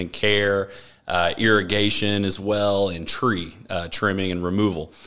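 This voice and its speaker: A man speaks with a Texas accent in a fairly low pitch. His intonation stays fairly even. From Texas, Austin. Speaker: business owner. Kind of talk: interview. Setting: studio.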